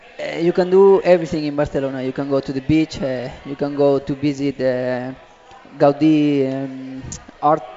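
A man speaks at a fairly high pitch and a moderate pace with fairly even intonation. Noticeable background noise runs behind him. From Spain. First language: Spanish. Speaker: professional footballer. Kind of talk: interview. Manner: halting.

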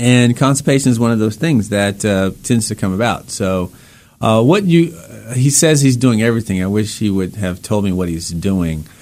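A man's plain, everyday voice, medium in pitch, with lively intonation at a moderate pace. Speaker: doctor radio host. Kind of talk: live call-in radio show, informal medical advice. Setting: radio studio. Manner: conversational, fluent, uses fillers.

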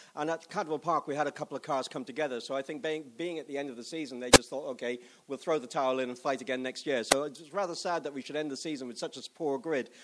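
The speech comes at a very fast pace. There are hardly any pauses. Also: man, fairly high pitch for a man. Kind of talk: live race commentary. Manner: rambling, stumbling, animated.

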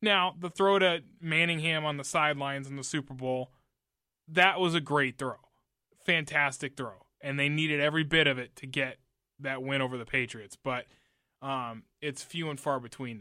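In a very clean recording with a silent background, a man with a bright, sharp tone and a fairly high pitch talks at a moderate pace, showing ordinary pitch variation and big swings in loudness. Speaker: sports reporter. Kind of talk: radio sports talk show.

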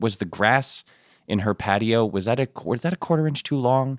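On a very clean recording with a silent background, a man with an American accent and an unremarkable speaking voice talks at a fairly quick pace with lively intonation. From suburban Connecticut, US. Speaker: TV writer and producer. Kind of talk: casual interview chat.

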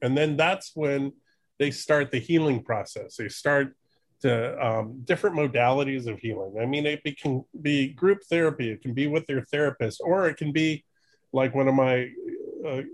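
An ordinary speaking voice: a man, fairly high in pitch, at a moderate pace with ordinary pitch variation. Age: 50s. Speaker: documentary filmmaker. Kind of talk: casual interview chat.

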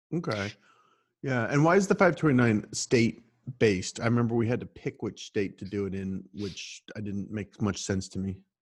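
In a plain, everyday voice, a man speaks at a fairly low pitch with lively intonation. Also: moderate pace. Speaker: podcast host. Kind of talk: interview.

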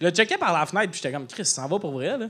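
On a very clean recording with a silent background, a man speaks in a bright, sharp tone at a high pitch with ordinary pitch variation. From Quebec, Lac-Saint-Jean region. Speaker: comedian. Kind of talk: casual chat. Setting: stage with audience. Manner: animated.

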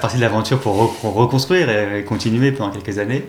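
A man at a medium pitch, with ordinary pitch variation and a fairly quick pace. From Paris region, France. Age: 30s. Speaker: tech company executive. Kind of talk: interview. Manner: hesitant with fillers.

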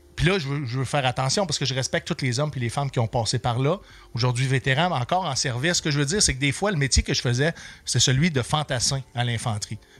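Music plays in the background as a man speaks at a very fast pace, medium in pitch with ordinary pitch variation. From Quebec City. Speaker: comedian and military veteran. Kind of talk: casual chat.

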